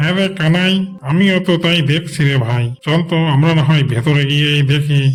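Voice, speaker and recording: A man's cartoonish character voice, fairly high in pitch and moderate in pace, with music in the background. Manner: coaxing, calculating.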